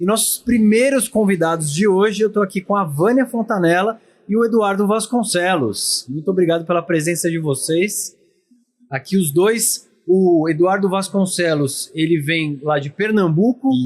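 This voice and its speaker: Speaking in a São Paulo accent, a man with a high-pitched voice keeps a moderate pace and very even loudness. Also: ordinary pitch variation. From São Paulo, Brazil. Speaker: podcast host. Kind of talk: podcast interview. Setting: at a dental congress event.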